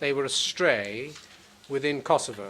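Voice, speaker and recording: This man's fairly high voice shows ordinary pitch variation. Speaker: prosecutor. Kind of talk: courtroom opening statement. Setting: courtroom. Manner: formal.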